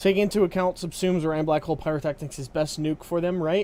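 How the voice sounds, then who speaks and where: At a very fast pace, a man speaks with a dark, mellow tone at a fairly high pitch. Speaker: gaming streamer. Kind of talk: live stream chat. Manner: subdued.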